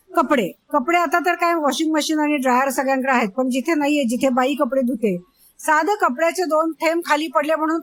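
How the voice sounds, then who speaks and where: Here a woman speaks at a high pitch with lively intonation. The recording is very clean, with a silent background. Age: 50s. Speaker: entrepreneur and management expert. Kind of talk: interview.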